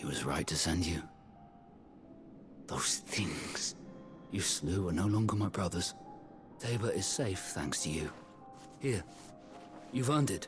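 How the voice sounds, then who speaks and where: A man's put-on character voice, very deep and low, at a moderate pace with long, frequent pauses and clear music in the background. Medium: short film.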